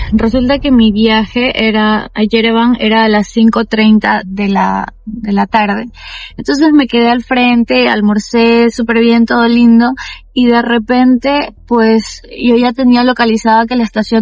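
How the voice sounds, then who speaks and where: Her voice is fairly high-pitched and very even in loudness as this woman speaks at a moderate pace. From Ecuador. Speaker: travel vlogger. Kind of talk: casual vlog storytelling. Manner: animated.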